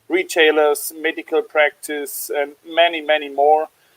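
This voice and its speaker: A man speaks with a German accent at a fairly slow pace. The sound is dry and close, with no echo. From Germany, Stuttgart area. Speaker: small business owner, laser user. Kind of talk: webinar panel interview. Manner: halting, many fillers.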